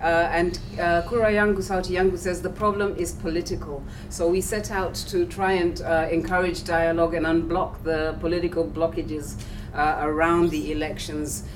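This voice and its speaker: A woman with a fairly low pitch and fairly even intonation speaks at a moderate pace, with audible room echo and noticeable background noise. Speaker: civil society director. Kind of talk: panel talk.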